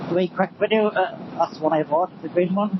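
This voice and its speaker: Someone with a Northern Irish accent speaks over noticeable background noise. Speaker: motorbike vlogger. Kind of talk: casual vlog talk while riding. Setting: outdoors on a motorbike. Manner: loud, shouting.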